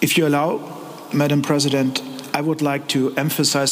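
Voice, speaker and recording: A fairly high-pitched male voice with a German accent, audible room echo and noticeable background noise. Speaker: politician. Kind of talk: panel discussion. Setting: stage with audience.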